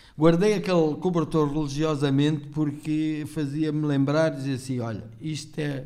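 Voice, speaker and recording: Over audible room echo, a man with a dark, mellow tone and fairly high pitch speaks at a moderate pace with fairly even intonation and hardly any pauses. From Portugal (born in Angola, arrived at about eight). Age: 50s. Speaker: podcast guest, former café owner. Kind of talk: casual chat.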